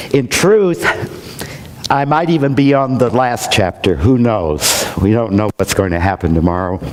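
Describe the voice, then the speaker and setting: With noticeable background noise behind him, a man at a medium pitch keeps a moderate pace and very even loudness while his pitch swings very widely. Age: 60s. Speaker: minister. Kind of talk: sermon.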